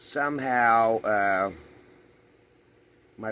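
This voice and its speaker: With audible room echo around him, a man speaks in a fairly low pitch with a bright, sharp tone. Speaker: vlogger, coin dealer. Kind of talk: casual vlog storytelling. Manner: slurred.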